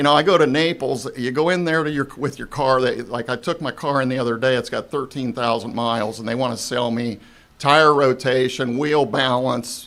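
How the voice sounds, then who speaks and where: Here is a man with an American accent and an ordinary speaking voice at a medium pitch. His pace is moderate and his intonation fairly even. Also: hardly any pauses. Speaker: retired car dealer. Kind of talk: casual interview chat.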